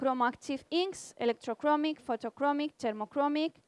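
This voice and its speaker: In a Spanish accent, a woman speaks with a high pitch and ordinary pitch variation at a moderate pace, the sound dry and close with no echo on a very clean recording with a silent background. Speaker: research institute department head. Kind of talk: conference presentation. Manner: halting.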